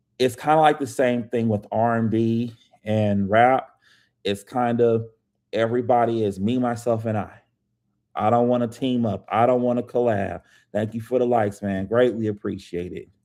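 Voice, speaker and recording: Medium in pitch, this man's voice has a dark, mellow tone. He keeps a moderate pace. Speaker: author. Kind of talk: live stream chat. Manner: loud; casual, animated.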